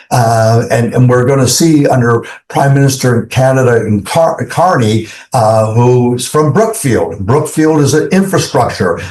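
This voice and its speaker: At a moderate pace, a man with a somewhat breathy, medium-pitched voice uses lively intonation and very even loudness, with audible room echo. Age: 70s. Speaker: investment fund executive. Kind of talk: interview. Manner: hesitant with many fillers.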